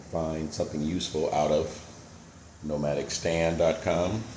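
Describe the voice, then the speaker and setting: A man with an American accent speaks at a fairly slow pace in a very deep, low voice. His intonation is monotone and flat, and the room echo is audible. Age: 60s. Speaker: retired vlogger. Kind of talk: casual vlog monologue. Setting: at home. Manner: hesitant, many fillers.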